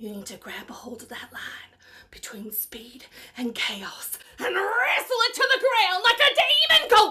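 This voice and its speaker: Her tone intense, a woman speaks in an extremely high pitch at a moderate pace with big swings in loudness. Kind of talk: dramatic acting monologue. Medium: voice reel. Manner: intense, rousing, building to fervor.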